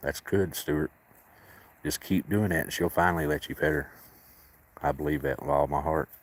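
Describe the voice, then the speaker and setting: A man with a very deep, low pitch and vocal fry speaks at a moderate pace with fairly even intonation and long, frequent pauses, in a dry, close sound with no echo. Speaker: livestreamer caring for cats at a sanctuary. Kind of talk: casual livestream chat reading viewer comments.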